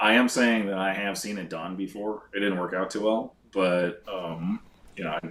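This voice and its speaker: A man with a Chicago accent and fairly even intonation. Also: fairly low pitch for a man, moderate pace. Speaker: board game expert. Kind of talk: casual chat.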